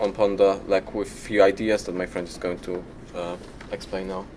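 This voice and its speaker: Fairly low-pitched man at a moderate pace, with big swings in loudness. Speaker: college student presenter. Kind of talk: group project presentation. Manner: halting.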